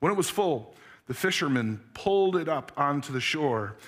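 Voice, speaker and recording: Fairly slow speech from a man, quiet all around. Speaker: pastor. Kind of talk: sermon. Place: church. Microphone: headset.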